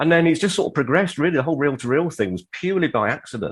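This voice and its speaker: The speaker is a man. The background is quiet. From southern England, Watford. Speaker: audio equipment repairer. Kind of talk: casual chat.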